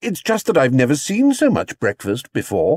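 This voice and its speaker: This is a put-on character voice at a middle pitch. It moves at a moderate pace with very wide pitch swings. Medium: read story. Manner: earnest, polite.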